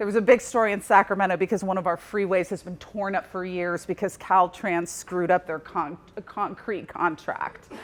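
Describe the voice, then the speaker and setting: A woman's normal speaking voice at medium pitch and a moderate pace. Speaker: journalism professor. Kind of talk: conference presentation.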